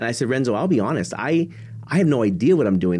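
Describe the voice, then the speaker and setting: Against a quiet background, a man with an American accent talks at a fairly quick pace in a normal speaking voice, his intonation lively. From Texas, San Antonio. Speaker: motivational speaker, nonprofit leader. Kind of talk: interview.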